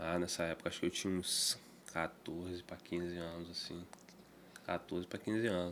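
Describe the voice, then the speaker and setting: Light background noise accompanies talking at a moderate pace. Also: man. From Brazil, Campos (Rio de Janeiro state); Rio de Janeiro state, Brazil. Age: 20s. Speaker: guitar maker; podcast guest. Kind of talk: casual interview chat. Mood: relaxed storytelling. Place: studio. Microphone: studio mic.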